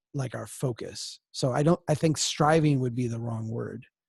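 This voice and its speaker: A man with a somewhat breathy voice speaks at a moderate pace, his pitch varying in an ordinary way. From Minnesota. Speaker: organization founder and president. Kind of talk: Q&A session. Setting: webcast.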